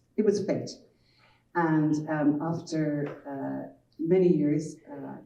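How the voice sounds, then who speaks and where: A Dublin accent in a dark, mellow tone, fairly even intonation and audible room echo. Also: woman. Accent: Irish (Dublin). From Ireland, Dublin. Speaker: children's author and publisher. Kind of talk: panel talk.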